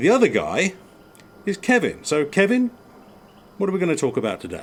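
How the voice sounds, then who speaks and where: A man with an English accent talks in a high voice with very wide pitch swings. He keeps a moderate pace broken by long, frequent pauses. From England. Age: 50s. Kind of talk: casual chat. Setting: outdoors on a porch.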